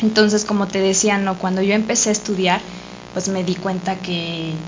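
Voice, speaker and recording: A woman's monotone, flat delivery at a moderate pace, with audible room echo and noticeable background noise. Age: 30s. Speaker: dancer. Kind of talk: casual chat.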